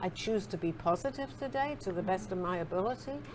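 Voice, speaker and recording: A woman with an English accent speaks at medium pitch with very wide pitch swings over noticeable background noise. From England. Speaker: spiritual author being interviewed. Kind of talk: interview conversation.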